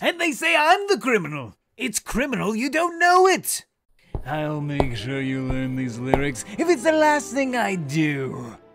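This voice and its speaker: Over faint background music, a cartoonish character voice speaks at a moderate pace and middle pitch. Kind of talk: cartoon villain voice acting. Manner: explosive ranting; manic, gleeful, menacing.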